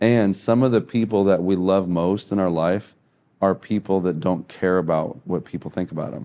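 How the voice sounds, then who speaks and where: This man has a very deep, low pitch and a dark, mellow tone with an American accent. His pitch varies in an ordinary way at a moderate pace. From US Midwest, Kansas City, Missouri. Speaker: missionary musician. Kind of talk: casual chat.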